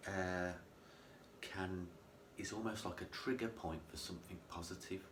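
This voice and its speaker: A man speaks at a moderate pace with a very deep, low pitch and fairly even intonation, with audible room echo and noticeable background noise. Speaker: mental health vlogger. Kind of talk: personal vlog monologue. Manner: droning; halting, self-correcting.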